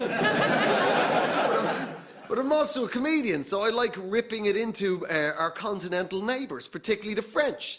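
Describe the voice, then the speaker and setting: Through noticeable background noise, a man with an Irish accent speaks in a high pitch with lively intonation. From Ireland. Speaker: comedian. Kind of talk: stand-up. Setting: stage with audience.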